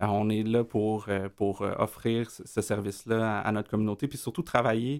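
A man speaks in a normal speaking voice, fairly low in pitch, at a moderate pace with fairly even intonation. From Quebec, east Montreal (Rosemont). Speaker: community organization director. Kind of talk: radio interview.

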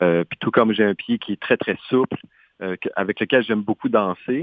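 A man with a plain, everyday voice and a fairly low pitch speaks at a fairly slow pace with ordinary pitch variation. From Saskatchewan, Canadian prairies. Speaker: dancer and choreographer. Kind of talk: radio interview.

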